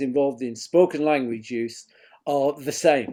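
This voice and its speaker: A man with a Northern English accent and a dark, mellow tone, at a moderate pace. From northern England. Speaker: education researcher and professor. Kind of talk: lecture. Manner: formal.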